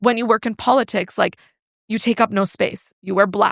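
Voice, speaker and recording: Recorded very cleanly against a silent background, a woman speaks at a moderate pace in a dry, close sound with no echo. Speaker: personal branding coach and entrepreneur. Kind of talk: podcast interview. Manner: loud.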